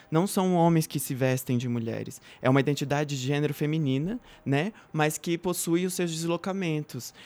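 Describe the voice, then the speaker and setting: This man has a normal speaking voice. His pitch sits fairly high, with ordinary pitch variation. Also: moderate pace. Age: 20s. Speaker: activist, actress and law student. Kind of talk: casual chat.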